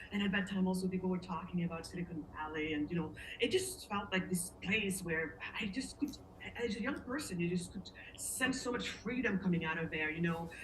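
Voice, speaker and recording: Audible room echo surrounds a woman whose pitch is fairly low. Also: ordinary pitch variation, fairly quick pace. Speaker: interviewee sharing life story. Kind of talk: casual interview, personal story. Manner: halting, searches for words.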